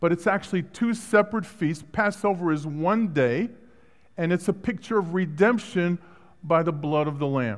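This man has a high voice, and his pitch varies in an ordinary way. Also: moderate pace. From Brooklyn, New York. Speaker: guest preacher. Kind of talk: sermon. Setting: church.

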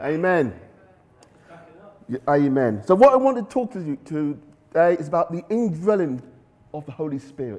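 A fairly high male voice at a moderate pace, with very wide pitch swings, big swings in loudness and long, frequent pauses. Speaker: preacher. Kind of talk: sermon.

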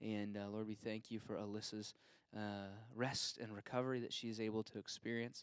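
With a medium pitch, a man delivers his words at a moderate pace. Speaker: church member leading prayer. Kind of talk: prayer. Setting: church. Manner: halting.

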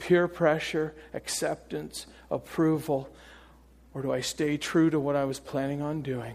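A normal speaking voice with fairly even intonation at a fairly slow pace. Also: man, fairly high pitch for a man. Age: 50s. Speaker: preacher. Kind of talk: sermon.

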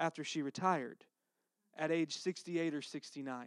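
In a Texas accent, a man speaks at a moderate pace and fairly high pitch with monotone, flat intonation, the sound dry and close with no echo. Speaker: pastor. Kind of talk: sermon. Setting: church.

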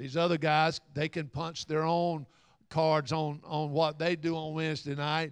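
In a Southern US accent, the speaker talks at a fairly slow pace with monotone, flat intonation against a quiet background. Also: man, fairly high pitch for a man. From Alabama area (Little River). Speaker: pastor. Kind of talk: sermon.

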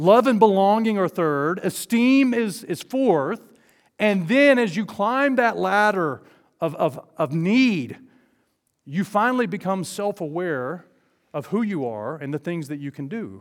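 A man with an Alabama accent speaks at a fairly slow pace in a high voice with lively intonation, on a very clean recording with a silent background. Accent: Southern US (Alabama). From US South, southeast and north Alabama. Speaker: guest preacher. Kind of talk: sermon. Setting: church with congregation.

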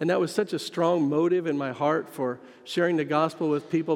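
In a fairly high voice, a man speaks with an American accent. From US Midwest, western Kansas. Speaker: missionary pastor. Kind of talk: sermon. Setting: church sanctuary.

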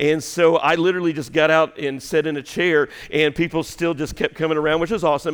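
A man talks at a very fast pace. His voice is fairly high-pitched, with monotone, flat intonation. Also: hardly any pauses. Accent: Southern US. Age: 50s. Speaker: pastor. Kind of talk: sermon. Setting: church.

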